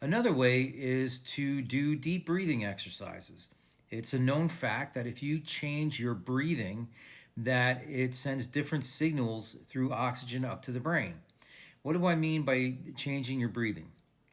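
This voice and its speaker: Here a man with a plain, everyday voice talks at a fairly slow pace, with a medium pitch and ordinary pitch variation. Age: 60s. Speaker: video blogger and author, cancer survivor. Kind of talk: casual talk to camera.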